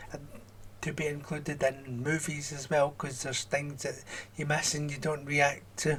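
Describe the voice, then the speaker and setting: At a moderate pace, a man with a Scottish accent speaks at a fairly high pitch in monotone, flat intonation. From Scotland. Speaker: YouTube reaction channel host. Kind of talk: reading and answering viewer comments.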